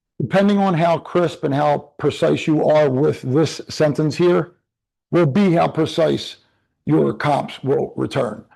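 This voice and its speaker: A man's fairly high, dark and mellow voice at a fairly slow pace, with very even loudness, ordinary pitch variation and a quiet background. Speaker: real estate trainer. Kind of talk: live online class tutorial.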